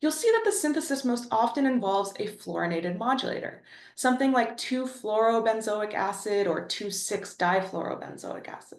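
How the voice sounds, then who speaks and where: A woman with a Canadian accent at a fairly quick pace, hardly any pauses, and audible room echo. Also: fairly high pitch for a woman, ordinary pitch variation. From Ontario, Canada. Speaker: chemistry professor. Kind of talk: lecture. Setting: webinar.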